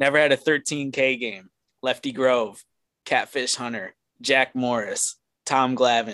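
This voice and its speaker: A man with an American accent talks at a fairly slow pace in a bright, sharp tone, his intonation fairly even. The sound is dry and close with no echo, and the background is quiet. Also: medium pitch for a man. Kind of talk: casual chat.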